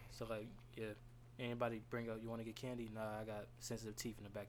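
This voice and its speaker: The speaker talks very fast with an American accent. Room echo is audible. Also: man. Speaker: podcast guest. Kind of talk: casual chat.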